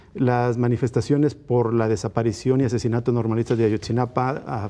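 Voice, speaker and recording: Fairly quick speech from a man, medium-pitched, with a dark, mellow tone. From Mexico. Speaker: political commentator. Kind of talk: panel debate. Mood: critical, earnest. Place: studio. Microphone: lapel.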